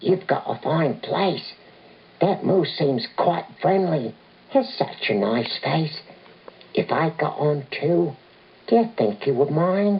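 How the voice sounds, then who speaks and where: A female-sounding put-on character voice with a fairly low pitch speaks at a fairly slow pace, leaving long, frequent pauses. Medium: read story.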